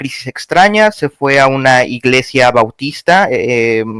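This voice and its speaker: A man with a Mexican accent talks at a fairly slow pace in a bright, sharp tone. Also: dry, close sound with no echo. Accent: Mexican Spanish, unmistakable. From Mexico. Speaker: caller on live stream. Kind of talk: casual debate chat. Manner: halting, many fillers.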